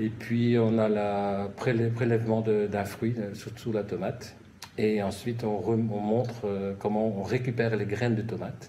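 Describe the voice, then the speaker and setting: A man speaks at a fairly slow pace in a fairly low voice. His intonation is monotone and flat. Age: 60s. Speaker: nurse and gardening enthusiast. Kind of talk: interview. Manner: halting.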